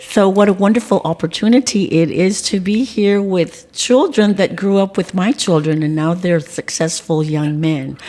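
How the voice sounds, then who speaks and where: Over noticeable background noise, a woman speaks at a moderate pace with an American accent. Her pitch is medium and varies in an ordinary way. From South Texas (Beeville, Live Oak County). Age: 60s. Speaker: school board member and community figure. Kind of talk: casual interview conversation.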